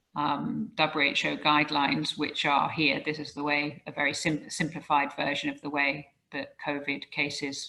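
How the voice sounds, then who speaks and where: With a British accent, the voice has a bright, sharp tone and monotone, flat intonation at a moderate pace. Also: woman. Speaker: professor. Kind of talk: lecture. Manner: halting, frequent um fillers.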